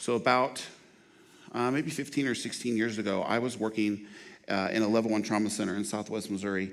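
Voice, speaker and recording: Audible room echo carries a man's voice at a fairly low pitch. He talks at a fairly quick pace with fairly even intonation. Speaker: trauma nurse and outreach manager. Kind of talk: lecture. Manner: fast.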